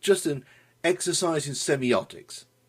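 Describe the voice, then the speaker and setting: With vocal fry in his voice, a man talks at a fairly slow pace. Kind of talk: comedic history commentary to camera. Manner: dry, sardonic.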